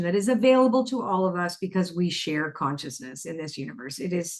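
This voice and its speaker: Delivered at a very fast pace, the speech has an animated tone and a Canadian accent. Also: woman. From Canada. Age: 60s. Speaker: spiritual author and oracle expert. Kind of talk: interview conversation.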